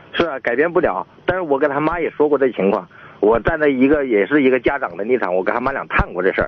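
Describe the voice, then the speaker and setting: Over noticeable background noise, a man at a medium pitch speaks at a very fast pace. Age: 40s. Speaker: caller. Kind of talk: phone-in call. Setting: phone call. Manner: halting.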